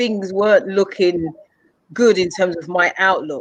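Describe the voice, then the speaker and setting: A woman talks with an English accent. Her pace is fairly slow. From England. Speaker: mentor and speaker. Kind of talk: interview. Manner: halting, with repetitions.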